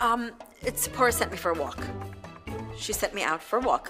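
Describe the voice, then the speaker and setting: Someone talks at a very fast pace while clear music plays in the background. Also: woman. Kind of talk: interview answer. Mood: anxious, overwhelmed, wry laughter. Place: kitchen.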